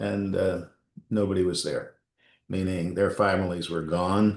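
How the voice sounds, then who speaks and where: Against a quiet background, a man speaks in a very deep, low pitch with monotone, flat intonation. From Montreal, Quebec, Canada. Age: 70s. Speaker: business executive. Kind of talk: interview. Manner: halting, many fillers.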